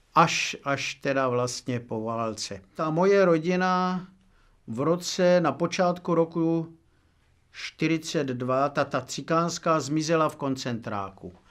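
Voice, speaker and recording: At a very slow pace, a man speaks with a fairly high pitch and ordinary pitch variation. The recording is very clean, with a silent background. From Moravia, Czech Republic (Milotice near Kyjov). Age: 80s+. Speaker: oral history witness. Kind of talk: oral history interview. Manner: halting, with many fillers.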